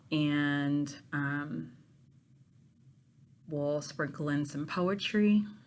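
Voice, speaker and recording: In a room with audible echo, a woman with an American accent speaks very slowly in a very deep, low pitch, leaving long, frequent pauses. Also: ordinary pitch variation. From Pittsburgh, Pennsylvania, US. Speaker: university literature professor. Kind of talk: course introduction to students. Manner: casual with many filler ums.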